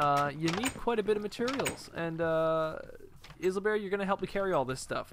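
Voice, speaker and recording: With noticeable background noise behind him, a man speaks fairly quickly at a high pitch, using lively intonation. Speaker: gaming YouTuber. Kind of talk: casual gameplay commentary. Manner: animated, enthusiastic.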